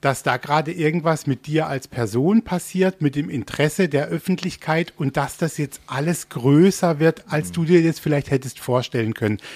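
A man speaks at a moderate pace with a fairly high pitch, a somewhat breathy quality and lively intonation. The sound is dry and close with no echo, on a very clean recording with a silent background. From Baden, Germany. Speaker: radio host. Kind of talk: casual interview. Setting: radio studio in theme park.

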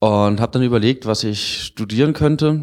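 A man speaks at a moderate pace in a fairly low pitch with ordinary pitch variation. It is a normal speaking voice. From Freiburg, southwest Germany. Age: 20s. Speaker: engineering student. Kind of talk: interview.

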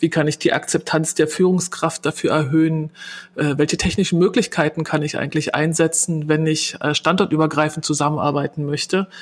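The voice carries a Berlin accent and moves at a fairly quick pace. Its intonation is flat and monotone. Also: woman, very deep, low pitch for a woman. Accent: Berlin dialect, audible. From Berlin, Germany. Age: 40s. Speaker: customer service manager. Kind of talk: interview.

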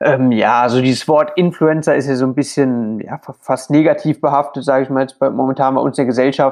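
Barely pausing, a man speaks fairly quickly at a medium pitch with monotone, flat intonation. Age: 20s. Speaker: plasterer and social media creator. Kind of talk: interview.

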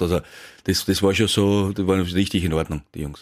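A man talks at a fairly quick pace with a very deep, low pitch. The recording is very clean, with a silent background. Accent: Austrian. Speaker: former professional footballer. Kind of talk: casual interview. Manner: halting.

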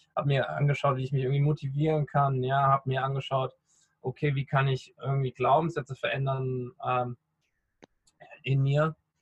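A somewhat breathy man's voice, fairly high in pitch, monotone and flat, at a moderate pace with long, frequent pauses. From Rhineland, western Germany. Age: 30s. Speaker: podcaster and personal development coach. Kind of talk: interview.

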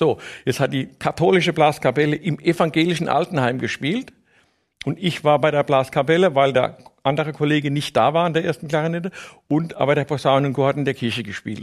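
A man's fairly high-pitched voice at a fairly quick pace, with ordinary pitch variation. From Palatinate, Germany (Neustadt an der Weinstraße). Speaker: orchestra tuba player. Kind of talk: casual interview. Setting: studio.

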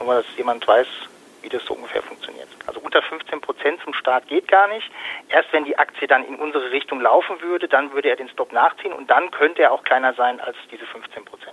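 The man speaks at a fairly quick pace. His loudness swings a lot. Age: 40s. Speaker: fund advisor and trader. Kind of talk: interview.

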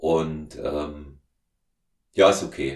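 A man is speaking. The background is quiet. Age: 50s. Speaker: podcast host and strength coach. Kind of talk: casual interview, being interviewed.

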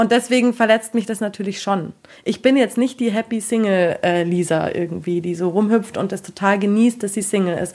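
On a very clean recording with a silent background, a woman with a normal speaking voice talks at a moderate pace in a medium pitch with ordinary pitch variation. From Bavaria, Munich area. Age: 20s. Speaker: single on a dating show. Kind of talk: casual interview.

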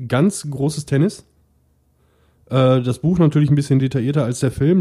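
This voice is somewhat breathy, with a dark, mellow tone. It moves at a moderate pace with ordinary pitch variation. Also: man. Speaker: podcast host. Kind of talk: casual chat.

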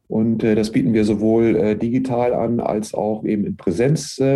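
This man's voice sits at a medium pitch, with a dark, mellow tone and fairly even intonation. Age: 50s. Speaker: university sports director. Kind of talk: interview. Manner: frequent filler hesitations.

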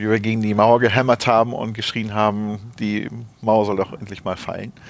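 Speaking fairly quickly, the man keeps to a medium pitch. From Rhineland, Germany (Neuss). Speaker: corporate HR director. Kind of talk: interview. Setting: office. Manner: hesitant, many fillers.

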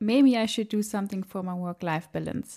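A woman speaks with a German accent at a medium pitch. Her tone is dark and mellow, and her pace moderate. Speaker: podcast host, health management worker. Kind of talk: interview.

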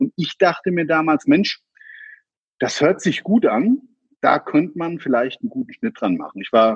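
His pitch swings very widely as this man speaks. He keeps a moderate pace. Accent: slight Hessian. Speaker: crime scene cleaner, business owner. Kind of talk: interview.

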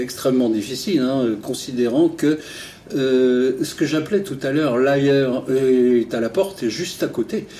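The man talks at a fairly slow pace and medium pitch. Noticeable background noise can be heard. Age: 60s. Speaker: retired travel journalist. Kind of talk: interview.

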